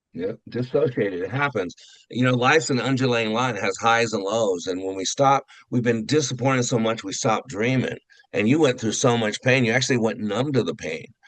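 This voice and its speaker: A man with an ordinary speaking voice talks at a fairly quick pace, with medium pitch and ordinary pitch variation. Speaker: radio and podcast host, interviewer. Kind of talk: interview host questions.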